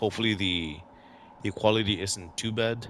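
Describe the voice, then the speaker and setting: A man speaks with a non-native accent at a moderate pace. Music plays in the background. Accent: noticeable foreign. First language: not English. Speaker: gaming youtuber. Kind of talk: casual gameplay commentary. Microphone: headset built-in microphone.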